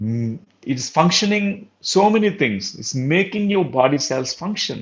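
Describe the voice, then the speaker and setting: Speaking with a Telugu accent, a man uses a high pitch and very wide pitch swings at a fairly slow pace. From India. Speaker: spiritual teacher / doctor. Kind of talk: lecture. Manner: halting, with filler sounds.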